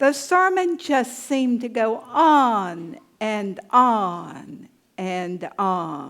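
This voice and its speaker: Speaking at a very slow pace with a Southern US accent, a woman uses a fairly high pitch that swings very widely. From US South. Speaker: pastor. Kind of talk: sermon.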